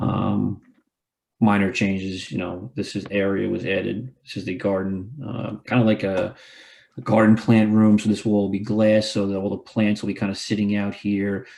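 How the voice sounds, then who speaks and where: A man talks at a fairly low pitch with fairly even intonation. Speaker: architect presenting plans. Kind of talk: project presentation. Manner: fast.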